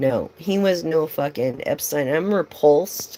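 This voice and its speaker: A woman speaks at a fairly slow pace in a fairly low voice with ordinary pitch variation, on a very clean recording with a silent background. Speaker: tarot reader. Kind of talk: live stream tarot reading with casual chat. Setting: live stream. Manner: animated.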